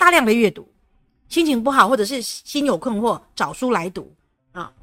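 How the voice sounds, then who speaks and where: A woman speaks at a fairly quick pace with a fairly high pitch, lively intonation and a bright, sharp tone. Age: 50s. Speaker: retired teacher and speaker. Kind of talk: interview.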